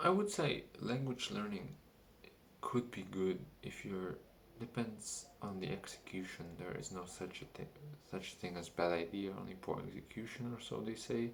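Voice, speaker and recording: The man's voice sits fairly low, with ordinary pitch variation. He speaks at a moderate pace, and room echo is audible. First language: not English. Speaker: vlogger. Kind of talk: casual monologue. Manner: halting.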